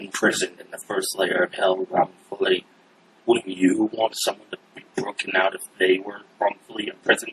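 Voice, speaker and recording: A man puts on a character voice, pitched fairly low. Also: moderate pace. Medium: actual play. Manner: defiant, zealous.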